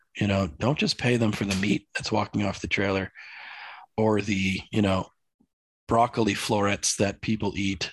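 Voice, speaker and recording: A man with an unremarkable speaking voice talks at a moderate pace in a fairly low pitch. His intonation is fairly even, and the background is quiet. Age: 40s. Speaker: livestock farmer. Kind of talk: interview conversation.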